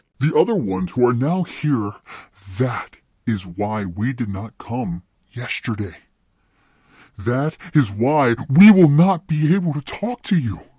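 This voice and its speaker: A put-on character voice moves at a fairly slow pace with long, frequent pauses. The background is quiet. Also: man, medium pitch for a man. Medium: read story. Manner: halting, searching for words.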